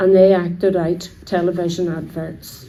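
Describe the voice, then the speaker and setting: A woman with a Belfast accent talks at a fairly slow pace with fairly even intonation. Room echo is audible. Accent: Belfast Northern Irish. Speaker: local resident sharing memories.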